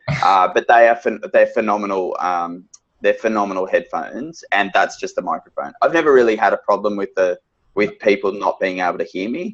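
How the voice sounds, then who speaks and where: The speaker has an Australian accent. The pace is fairly quick. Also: man. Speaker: financial adviser. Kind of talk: webinar interview. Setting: video call. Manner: loud.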